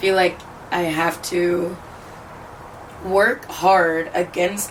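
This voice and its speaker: A woman with fairly even intonation, heard with audible room echo and noticeable background noise. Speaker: lifestyle vlogger. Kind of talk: casual vlog monologue. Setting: on a balcony. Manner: casual, filler-heavy.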